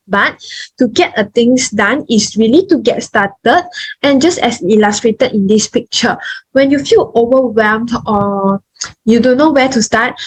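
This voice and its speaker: A woman's high-pitched voice with lively intonation, very even loudness, and a moderate pace. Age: young. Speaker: nursing student. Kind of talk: online talk presentation.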